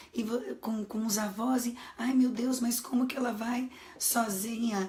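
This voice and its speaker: Noticeable background noise under a woman's moderately paced, fairly high-pitched speech. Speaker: psychologist and coach. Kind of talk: live stream talk. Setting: live stream.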